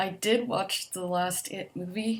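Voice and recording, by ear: Soft-spoken and slow, a woman talks at a fairly low pitch with fairly even intonation.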